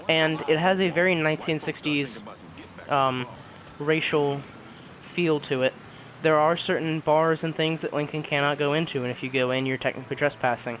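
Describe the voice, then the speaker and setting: With noticeable background noise behind him, a man of fairly high pitch talks at a moderate pace with fairly even intonation. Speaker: video game reviewer. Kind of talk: game review. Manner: quiet and solemn; hesitant, many fillers.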